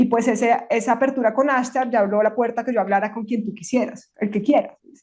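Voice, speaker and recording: A woman with a fairly high pitch and an animated tone talks at a fairly quick pace with hardly any pauses and big swings in loudness. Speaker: former New Age channeler. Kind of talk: interview testimony. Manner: fast.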